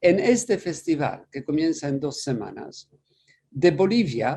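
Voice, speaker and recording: Speaking in a Polish accent, a man talks at a very slow pace with a dark, mellow tone and very wide pitch swings. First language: Polish (speaking Spanish). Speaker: priest and musicologist, festival director. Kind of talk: interview. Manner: halting, with many fillers and repetitions.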